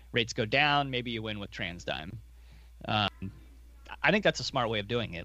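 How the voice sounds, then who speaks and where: A man speaks at a medium pitch with ordinary pitch variation. His tone is bright and sharp, with vocal fry. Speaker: podcast co-host, investor. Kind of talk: casual chat about investing.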